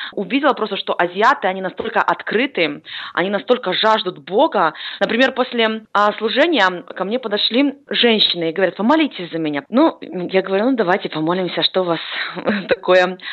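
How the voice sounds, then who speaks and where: Speaking at a fairly quick pace, a woman uses lively intonation. Her pitch sits in the medium range. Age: 20s. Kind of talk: interview. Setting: Skype call.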